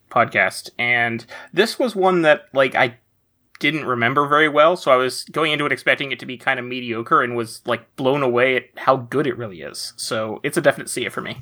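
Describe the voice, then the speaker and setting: On a very clean recording with a silent background, a man with a normal speaking voice talks at a fairly high pitch and a fairly quick pace, with ordinary pitch variation and big swings in loudness. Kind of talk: casual chat.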